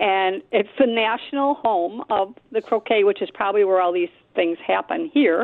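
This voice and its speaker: A woman's medium-pitched voice with a Buffalo accent, lively intonation, a moderate pace and very even loudness. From Buffalo, New York. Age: 70s. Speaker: radio caller. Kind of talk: call-in chat. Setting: phone call.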